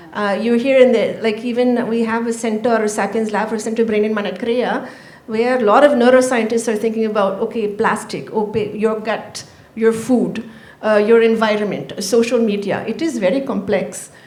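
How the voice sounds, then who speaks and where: Speaking at a moderate pace with fairly even intonation, a woman with a fairly high pitch is heard amid audible room echo and noticeable background noise. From Canada. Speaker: panel moderator. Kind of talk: panel discussion. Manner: loud.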